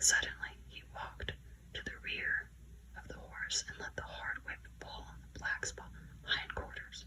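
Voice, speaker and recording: A soft-spoken woman whispers at a fairly slow pace, with long, frequent pauses and big swings in loudness. Noticeable background noise can be heard. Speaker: ASMR creator. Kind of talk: audiobook narration, whispered bedtime story. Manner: whispered, soft-spoken.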